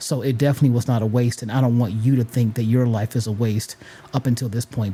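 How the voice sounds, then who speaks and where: Noticeable background noise sits behind a man of medium pitch. He talks at a fairly quick pace with fairly even intonation. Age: 40s. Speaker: podcast host. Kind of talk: motivational talk.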